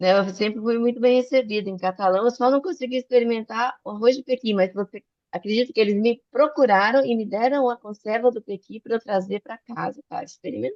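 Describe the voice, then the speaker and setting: Talking at a fairly quick pace with hardly any pauses, a woman uses a fairly high pitch and ordinary pitch variation. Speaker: physician and medical educator. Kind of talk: online talk / lecture. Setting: video call. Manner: fast; animated.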